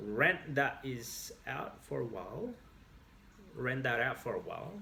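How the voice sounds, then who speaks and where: A man with an Australian accent speaks amid audible room echo. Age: 30s.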